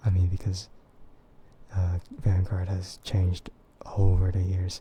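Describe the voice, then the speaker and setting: Soft-spoken, the speaker talks at a moderate pace in a relaxed tone. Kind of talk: casual talk to camera, livestream chat; ASMR soft voice. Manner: soft, relaxed, quiet.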